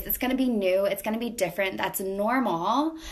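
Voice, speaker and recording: Her tone animated, a woman speaks at a fairly high pitch with ordinary pitch variation over noticeable background noise. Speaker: life coach. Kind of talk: motivational monologue. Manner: halting, repetitive fillers.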